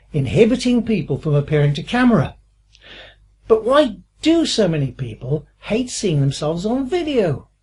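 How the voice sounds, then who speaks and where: Using a dark, mellow tone with vocal fry, a woman at medium pitch makes very wide pitch swings while keeping a moderate pace. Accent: British. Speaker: online course instructor. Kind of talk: tutorial. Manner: hesitant, many fillers.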